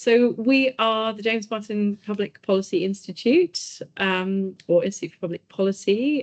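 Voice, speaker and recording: With a British accent, a woman at medium pitch speaks with ordinary pitch variation. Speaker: policy institute chief executive. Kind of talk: presentation.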